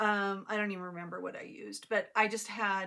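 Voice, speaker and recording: A woman speaks at a moderate pace. Her pitch is medium and her intonation fairly even. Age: 60s. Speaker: cross stitch vlogger. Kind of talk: casual chat. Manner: halting, many fillers.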